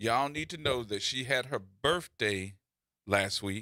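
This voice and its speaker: A man with an American accent, bright, sharp tone, animated delivery and lively intonation, at a fairly slow pace. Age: 50s. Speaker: radio host. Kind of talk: casual chat.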